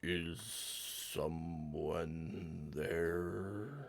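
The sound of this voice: In a put-on character voice, a man growls loudly at a very deep, low pitch.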